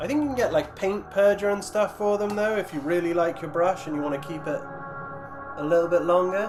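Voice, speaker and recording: Music plays in the background as a man talks at a fairly quick pace. His pitch is high and his intonation lively. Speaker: miniature painting streamer. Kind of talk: casual livestream chat reading viewer comments. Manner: stuttering, tripping over words; hesitant, many fillers.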